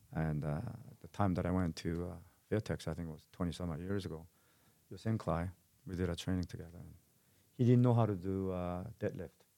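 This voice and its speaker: Using a very deep, low pitch and a dark, mellow tone, a man speaks at a fairly quick pace with ordinary pitch variation, big swings in loudness, and long, frequent pauses. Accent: Korean. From South Korea. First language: Korean. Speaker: martial arts gym owner and fight promoter. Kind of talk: casual interview. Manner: halting, frequent repetitions.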